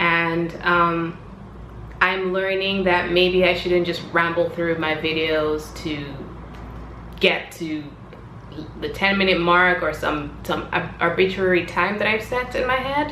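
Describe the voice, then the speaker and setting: Amid noticeable background noise and audible room echo, a woman with a fairly low pitch talks at a very slow pace, leaving long, frequent pauses. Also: ordinary pitch variation. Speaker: vlogger. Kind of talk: casual vlog monologue. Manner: rambling, hesitant fillers.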